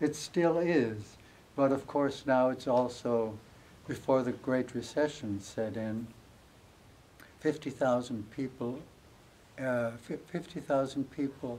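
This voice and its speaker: A man with an American accent, medium-pitched, dark and mellow in tone, very slow, with long, frequent pauses. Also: fairly even intonation. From US Midwest, Amana Colonies, Iowa. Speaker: author. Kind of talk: interview before a live audience.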